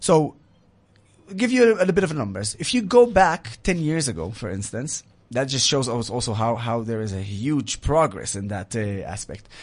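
With an Arabic accent, a man talks at a medium pitch and moderate pace, his pitch swinging very widely. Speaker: military veteran and advocacy speaker. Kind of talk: interview. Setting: studio.

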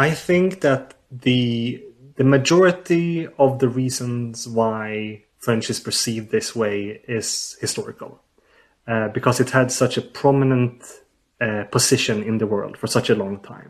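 A man speaks with a Swedish accent against a quiet background. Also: medium pitch for a man, ordinary pitch variation, fairly slow pace. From southern Sweden. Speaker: linguistics researcher. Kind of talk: interview.

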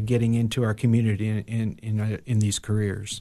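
A man with an American accent and a dark, mellow tone. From Ohio and New York. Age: 40s. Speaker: nonprofit executive director. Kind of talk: interview. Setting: studio.

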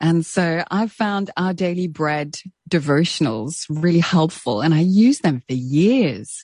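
A woman with a South African accent, fairly low in pitch and fairly slow in pace. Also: lively intonation. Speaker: radio presenter and author. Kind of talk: interview.

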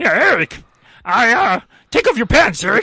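The speaker puts on a character voice at a fairly high pitch. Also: moderate pace. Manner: Gollum-like.

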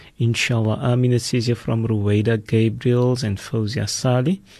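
Somewhat breathy, a man's medium-pitched voice moves at a moderate pace. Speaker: radio host. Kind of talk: radio presenting. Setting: radio studio. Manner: warm, formal.

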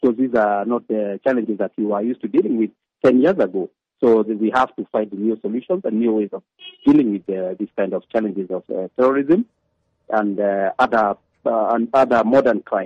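Speaking at a fairly quick pace, a man with a Kenyan accent has a medium pitch. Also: ordinary pitch variation. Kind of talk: interview. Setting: phone call.

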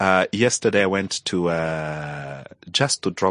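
A man talks very slowly in a very deep, low pitch with ordinary pitch variation. The sound is dry and close, with no echo. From Angola. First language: Portuguese (probable; not English). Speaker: journalist and activist. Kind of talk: interview conversation. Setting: studio.

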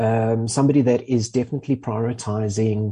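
A man's somewhat breathy voice at medium pitch, dark and mellow in tone, with fairly even intonation, a moderate pace and a quiet background. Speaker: motoring journalist. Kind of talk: casual chat.

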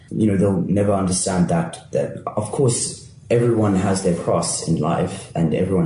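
A man's fairly low voice at a fairly slow pace, with audible room echo and noticeable background noise. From Cape Town, South Africa. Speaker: playwright and actor. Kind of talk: casual chat.

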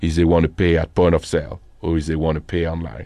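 A man's very deep, low voice with a French accent over a quiet background. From northern France. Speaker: company founder and CEO. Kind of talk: interview. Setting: studio.

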